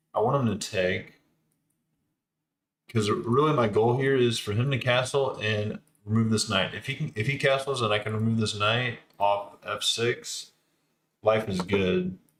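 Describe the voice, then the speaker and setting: A man speaks at a fairly slow pace with long, frequent pauses and a medium pitch. His voice is somewhat breathy, with ordinary pitch variation. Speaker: chess streamer. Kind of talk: live game commentary. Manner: hesitant, filler-heavy. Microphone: webcam built-in microphone.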